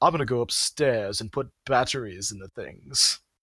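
Using a put-on character voice, a man talks at a moderate pace and medium pitch on a very clean recording with a silent background. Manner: pompous, decadent.

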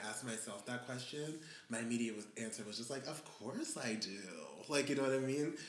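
A man speaks at a moderate pace in a medium-pitched voice. Noticeable background noise runs beneath him. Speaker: podcast host. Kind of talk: casual chat. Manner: animated.

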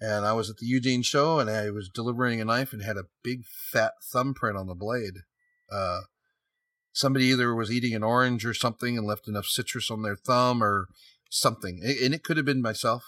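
A man with an American accent talks at a fairly quick pace, his pitch medium and his intonation fairly even. His tone is bright and sharp, on a very clean recording with a silent background. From San Jose, California. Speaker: custom knife maker. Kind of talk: casual interview.

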